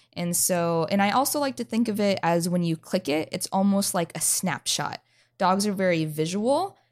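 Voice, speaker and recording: In an American accent, a woman uses an ordinary speaking voice at a medium pitch and moderate pace with ordinary pitch variation, on a very clean recording with a silent background. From North Idaho, US. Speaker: dog trainer and podcast host. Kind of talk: podcast chat and explanation.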